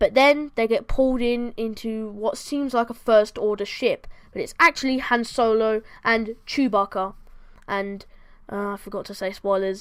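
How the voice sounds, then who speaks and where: Against a silent background in a very clean recording, a woman with a fairly high pitch speaks in a bored tone at a moderate pace with fairly even intonation. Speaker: film review youtuber. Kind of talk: casual film review monologue. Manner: halting, many fillers and self-corrections; sounds bored.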